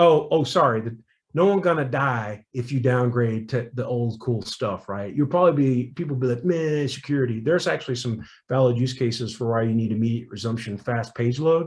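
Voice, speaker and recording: Somewhat breathy, fairly quick speech with ordinary pitch variation over a quiet background. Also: man, medium pitch for a man. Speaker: security professional giving a tech talk. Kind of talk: technical talk at meetup. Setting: online call. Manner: fast; animated.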